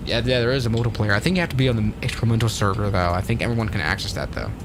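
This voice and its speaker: Over noticeable background noise and audible room echo, a man with a fairly low pitch and ordinary pitch variation talks at a very fast pace with hardly any pauses. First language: not English. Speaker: flight sim streamer. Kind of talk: live stream commentary. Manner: slurred words.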